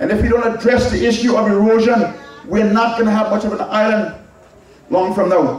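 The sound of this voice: A man speaks at a fairly quick pace with high pitch, a slightly mellow tone and fairly even intonation, and strong room echo surrounds him.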